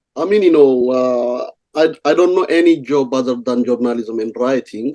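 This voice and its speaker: A man with an Ethiopian accent speaks at a fairly slow pace. His medium-pitched voice has a dark, mellow tone. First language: Amharic. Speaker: journalist and writer in exile. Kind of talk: radio interview. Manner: halting, many fillers.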